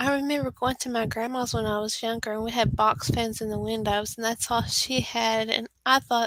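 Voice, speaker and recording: A woman speaks with a Texan accent. Her pace is moderate. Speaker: author. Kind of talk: interview.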